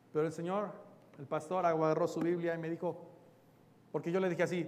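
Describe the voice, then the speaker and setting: At a very fast pace, a man speaks with a high pitch. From Mexico. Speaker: pastor. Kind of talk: sermon.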